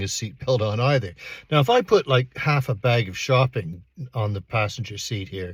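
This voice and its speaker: At a moderate pace, a somewhat breathy voice comes through on a very clean recording with a silent background. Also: man. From Canada. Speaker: astrology and paranormal youtuber. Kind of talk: personal storytelling. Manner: casual, conversational with fillers.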